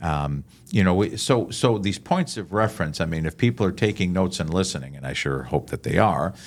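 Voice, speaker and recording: A man with a very deep, low voice and vocal fry talks at a moderate pace with lively intonation. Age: 60s. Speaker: chaplain and podcast host. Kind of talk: podcast interview, teaching points. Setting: podcast recording. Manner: animated.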